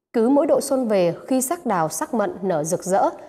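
A woman's voice with a dark, mellow tone. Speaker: TV news presenter. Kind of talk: news presentation. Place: studio. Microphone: lapel.

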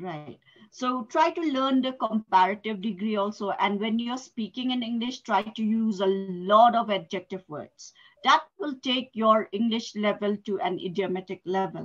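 A woman's somewhat breathy voice, fairly high in pitch, with lively intonation at a moderate pace. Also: quiet background. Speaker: English tutor. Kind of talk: online English lesson. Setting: video call. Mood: instructive, encouraging. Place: home room. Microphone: headset.

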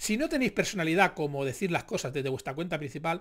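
In a quiet background, a man speaks at a very fast pace. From Spain. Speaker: youtuber commentator. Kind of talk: casual commentary monologue; reading news article aloud. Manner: animated. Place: home room.

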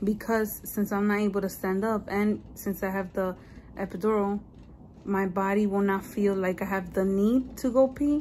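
There is light background noise behind a woman. Her voice is somewhat breathy with a dark, mellow tone. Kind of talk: casual vlog chat. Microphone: phone near.

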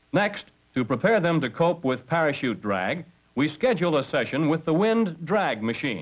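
Pitched fairly high, a man talks at a moderate pace with very wide pitch swings and vocal fry. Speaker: instructor narrator. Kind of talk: vintage training film narration. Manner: formal, brisk and authoritative; measured, instructional delivery.

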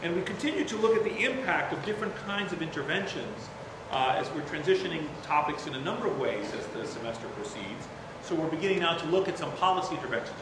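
A man talks at a very fast pace in a high pitch. Noticeable background noise and audible room echo fill the recording. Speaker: university professor. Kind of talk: lecture. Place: hall. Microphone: podium.

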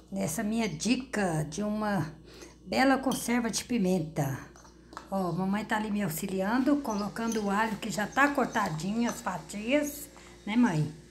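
A woman speaks at a fairly slow pace with lively intonation. There is light background noise. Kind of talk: casual cooking tutorial. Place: kitchen. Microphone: phone near.

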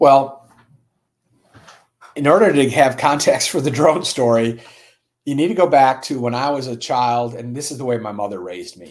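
A man speaks at medium pitch with a slightly mellow tone. He leaves long, frequent pauses. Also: ordinary pitch variation, moderate pace.

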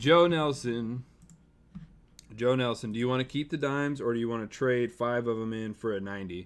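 A man speaks at a moderate pace in a medium pitch. His tone is clear and smooth, with ordinary pitch variation.

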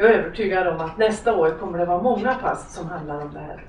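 A woman is speaking. The room echo is audible, and there is light background noise. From Hudiksvall, Sweden. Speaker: lecturer on gender equality. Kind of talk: lecture. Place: stage.

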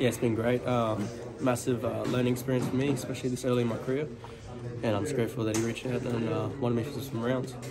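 The talking races along at a very fast pace. Loud background noise fills the recording. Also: man. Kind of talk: interview answer. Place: gym. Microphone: phone near.

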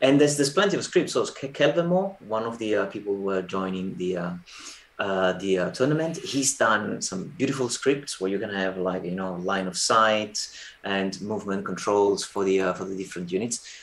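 Fairly low pitch from a man at a moderate pace, the pitch varying in an ordinary way. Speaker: tournament organiser. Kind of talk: casual chat. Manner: repeats words, halting. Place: home room. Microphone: video call.

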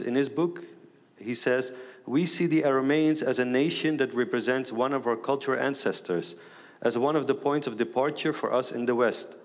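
Speaking with a Middle Eastern accent, a man keeps a medium pitch, a moderate pace and ordinary pitch variation. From Netherlands. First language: Aramaic. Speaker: advocacy organization president; panelist. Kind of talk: panel discussion remarks. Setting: stage with audience. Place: hall. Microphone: headset.

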